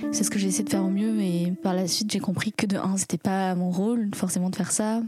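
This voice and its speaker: There is noticeable background noise as a woman with a medium-pitched voice talks at a fairly quick pace. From France. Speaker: storyteller. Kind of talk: personal testimony. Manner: reflective, hesitant.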